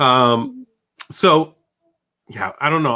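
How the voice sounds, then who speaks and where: In a very clean recording with a silent background, a man with a Boston accent speaks in a bright, sharp tone. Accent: thick Boston. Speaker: YouTube channel host. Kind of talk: casual chat. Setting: live stream.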